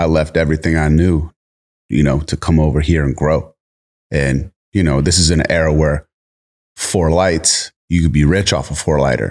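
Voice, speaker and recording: This man has a very deep, low voice with vocal fry and an American accent, speaking at a moderate pace with fairly even intonation in a dry, close sound with no echo. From US East Coast. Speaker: cannabis grower and meme maker. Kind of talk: casual chat.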